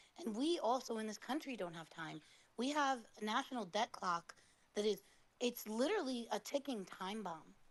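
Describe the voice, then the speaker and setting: This woman has a normal speaking voice and an American accent. Her pitch is fairly high, her intonation lively and her pace moderate. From United States. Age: 30s. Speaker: caller. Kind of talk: political call-in commentary.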